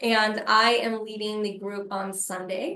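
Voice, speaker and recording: Her tone is bright and sharp, set at a fairly high pitch. The woman speaks at a moderate pace. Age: 30s. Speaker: harm reduction trainer and consultant. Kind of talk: webinar training presentation. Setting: video webinar.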